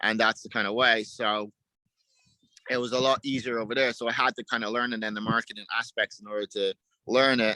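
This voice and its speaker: In an Irish accent, a man talks at a fairly quick pace in a medium pitch with monotone, flat intonation and a dry, close sound with no echo. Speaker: dog trainer. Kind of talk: interview answer.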